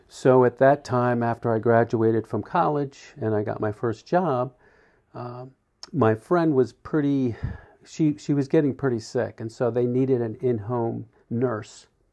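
A man with an American accent has a normal speaking voice at a medium pitch. His pace is fairly slow, with ordinary pitch variation. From US Northeast, South Jersey. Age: 60s. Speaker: church member. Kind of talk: interview.

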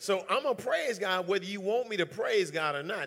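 The speaker is a man with an animated tone. He talks at a moderate pace, and his tone is bright and sharp. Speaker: preacher. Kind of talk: sermon to a live church congregation. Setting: church. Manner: animated, call-and-response preaching, emphatic repetition.

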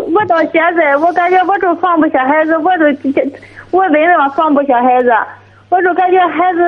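Over noticeable background noise, a woman talks at a moderate pace. Her pitch is extremely high, with ordinary variation. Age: 30s. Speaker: caller. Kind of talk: call-in advice conversation. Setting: phone call. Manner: halting.

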